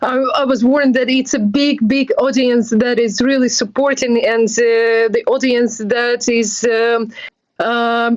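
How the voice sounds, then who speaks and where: This woman has a Ukrainian accent and a high pitch. She talks at a fairly slow pace with monotone, flat intonation and very even loudness. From Ukraine. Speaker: NGO volunteer. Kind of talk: interview.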